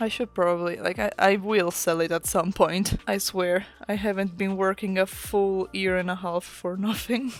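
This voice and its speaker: A speaker with an Italian accent talks at a moderate pace, hardly pausing at all. The tone is relaxed and the intonation fairly even. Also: woman, medium pitch for a woman. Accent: Italian accent, self-noted pronunciation. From Italy. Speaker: artist and comic creator. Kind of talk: casual chat while drawing. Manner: relaxed, rambling.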